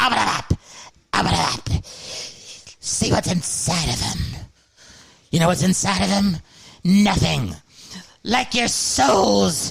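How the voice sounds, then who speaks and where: Using a put-on character voice, a man talks high-pitched at a fairly slow pace with long, frequent pauses. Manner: menacing, taunting.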